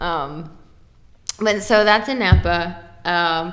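A woman with an American accent, fairly low in pitch, with fairly even intonation and audible room echo. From Texas, Dallas suburbs. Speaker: trade news editor. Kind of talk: casual chat. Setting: convention venue, echoey room.

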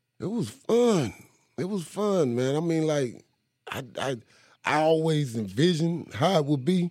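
Speaking at a fairly slow pace, a man with a North Carolina accent uses lively intonation and a fairly high pitch. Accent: Southern US, North Carolina. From eastern North Carolina, Kinston. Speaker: rapper. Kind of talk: casual interview.

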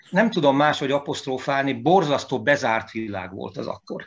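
With vocal fry and very wide pitch swings, a man speaks at a fairly high pitch. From Hungary, Veszprém. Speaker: composer and pianist. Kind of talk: interview. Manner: animated; halting.

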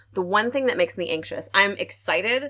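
Fairly quick woman's voice in an American accent, bright and sharp in tone, with lively intonation. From Arkansas. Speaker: opera podcast co-host. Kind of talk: casual panel chat. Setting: remote call from family home.

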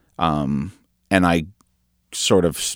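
With a Canadian accent, a man's very deep, low voice shows vocal fry, recorded very clean with a silent background and a dry, close sound with no echo. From Hamilton, Ontario, Canada. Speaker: electronic musician and producer. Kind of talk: interview. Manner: halting, many fillers.

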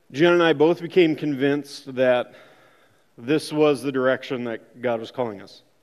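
A man with an Upper Midwest accent speaks at a moderate pace with ordinary pitch variation. His loudness swings widely against a quiet background. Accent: Upper Midwest American. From Minnesota. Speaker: church member sharing testimony. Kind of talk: testimony.

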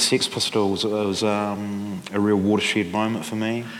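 With noticeable background noise behind him, a man with a New Zealand accent speaks at a fairly slow pace and a fairly low pitch. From New Zealand, Central Otago and Dunedin. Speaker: musician and author. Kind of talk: live interview on stage. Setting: stage with audience. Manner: halting.

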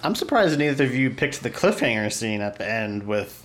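Over audible background noise, a man talks at a fairly quick pace with ordinary pitch variation. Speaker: guest book discussant. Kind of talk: casual chat.

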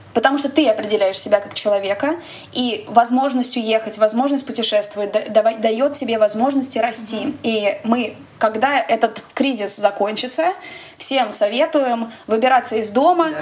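A woman at a moderate pace, with ordinary pitch variation and noticeable background noise. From Russia. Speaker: podcast host. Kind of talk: casual chat.

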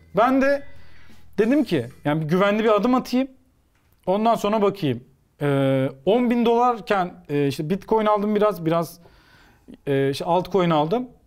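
A man's high voice with very wide pitch swings, very even loudness, and a fairly slow pace broken by long, frequent pauses. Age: 30s. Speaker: sports commentator. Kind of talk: casual chat.

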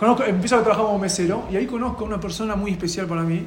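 A man's speech comes with audible room echo, and noticeable background noise sits behind it. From Argentina. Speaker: rabbi and youth outreach worker. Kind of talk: personal testimony.

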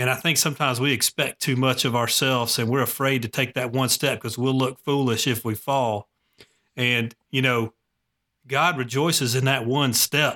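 A man's medium-pitched voice with a Southern US accent, bright and sharp in tone, at a moderate pace with monotone, flat intonation and very even loudness, in a dry, close recording with no echo and a silent background. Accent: Southern US (Georgia). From Gwinnett County, Georgia, US. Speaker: podcast host. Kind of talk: interview conversation.

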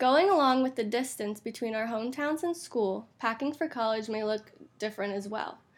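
An ordinary speaking voice from a woman, fairly high in pitch, at a fairly quick pace with ordinary pitch variation, on a very clean recording with a silent background. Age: 20s. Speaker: college student podcast co-host. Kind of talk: casual chat.

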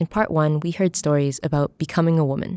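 A woman with an American accent speaks very fast in a very deep, low voice, her intonation fairly even and the sound dry and close with no echo. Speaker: podcast host and narrator. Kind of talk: scripted narration.

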